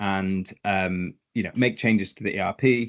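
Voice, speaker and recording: In a British accent, a man talks at a fairly slow pace against a quiet background. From Britain. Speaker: tax software consultant. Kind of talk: webinar interview. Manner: hesitant, many repetitions.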